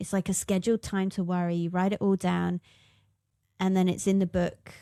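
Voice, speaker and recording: Monotone, flat delivery at a fairly quick pace, with a dark, mellow tone and a very clean, dry, close recording with no echo and a silent background. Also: woman, medium pitch for a woman. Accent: English. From England. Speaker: musician and podcast co-host. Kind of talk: casual chat.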